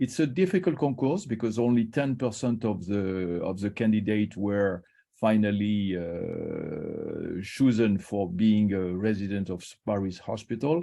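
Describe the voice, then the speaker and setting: In a French accent, a man speaks fairly slowly in a fairly low, dark, mellow voice with ordinary pitch variation. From Morocco (French family, Casablanca). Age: 60s. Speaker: liver surgeon, professor. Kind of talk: invited talk on career. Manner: halting, many hesitations.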